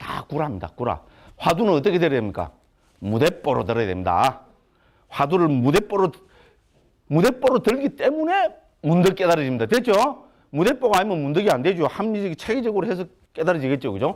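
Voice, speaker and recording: Using a Gyeongsang accent, a man talks in an animated tone at a fairly quick pace with long, frequent pauses, his high pitch making very wide swings. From Gyeongsang province, Korea. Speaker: Buddhist monk lecturer. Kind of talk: lecture. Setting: lecture hall with audience. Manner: animated, conversational.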